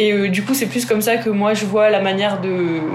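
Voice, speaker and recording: With audible room echo and noticeable background noise, a woman talks at medium pitch with ordinary pitch variation. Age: 20s. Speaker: startup co-founder, agronomist. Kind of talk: interview.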